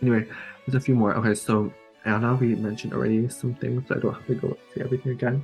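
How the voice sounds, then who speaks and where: Soft-spoken and very fast, a man at medium pitch talks with ordinary pitch variation over background music. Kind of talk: casual talk to camera.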